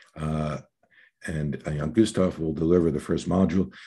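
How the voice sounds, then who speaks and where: A man speaks in a dark, mellow tone. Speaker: webinar moderator. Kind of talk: formal introductions. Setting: online webinar video call. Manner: fast.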